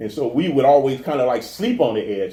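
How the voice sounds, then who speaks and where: A man with an American accent talks in a dark, mellow, somewhat breathy tone with ordinary pitch variation. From New Orleans, US South. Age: 50s. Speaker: comedian and actor. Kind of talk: interview. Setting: garage with door open. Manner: halting, many repetitions.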